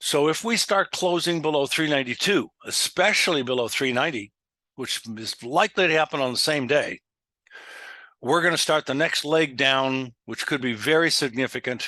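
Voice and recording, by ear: With a bright, sharp tone and fairly high pitch, a man speaks with ordinary pitch variation in a dry, close sound with no echo. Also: moderate pace.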